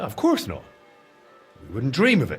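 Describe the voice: A man puts on a character voice with a husky, rough edge, medium pitch and very wide pitch swings, talking at a fairly slow pace over faint background music.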